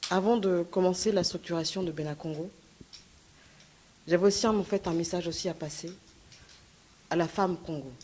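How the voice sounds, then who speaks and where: A woman's fairly low voice at a moderate pace, with fairly even intonation and long, frequent pauses. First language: Lingala or Kikongo heritage, French most comfortable (speaking French). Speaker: activist speaker. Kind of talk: conference speech. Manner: halting, many fillers.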